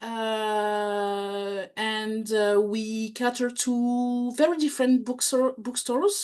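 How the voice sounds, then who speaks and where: A woman speaks in a high voice. She has a French accent. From France. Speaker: bookselling trainer and lecturer. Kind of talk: talk to small group. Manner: hesitant.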